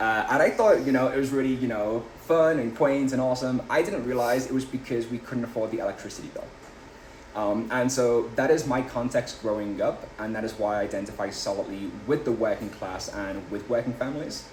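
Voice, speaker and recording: A man with an English accent talks at a fairly quick pace over noticeable background noise. His pitch is medium, with ordinary pitch variation. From England, Liverpool. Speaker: political candidate. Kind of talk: interview.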